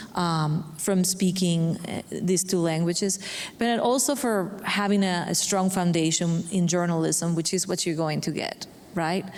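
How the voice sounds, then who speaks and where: Fairly low in pitch, a woman with a non-native accent speaks at a fairly slow pace with fairly even intonation. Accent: noticeable non-native. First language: Spanish. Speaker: bilingual journalist. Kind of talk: panel discussion.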